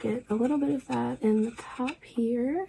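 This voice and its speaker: A woman's whisper comes through noticeable background noise. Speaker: beauty vlogger. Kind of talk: makeup tutorial. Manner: whispery; casual chatty.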